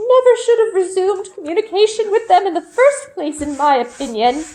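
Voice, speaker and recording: A woman speaks in a strained, put-on character voice pitched extremely high, swinging very widely in pitch at a fairly quick pace. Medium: read story. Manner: strained, disapproving.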